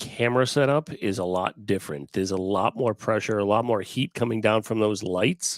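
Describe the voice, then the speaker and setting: A man at a fairly low pitch and moderate pace, with ordinary pitch variation, comes through in a very clean recording with a silent background and a dry, close sound with no echo. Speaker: cornhole podcast host. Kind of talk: casual chat. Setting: at home, not in studio. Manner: quieter than usual. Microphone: no studio acoustics.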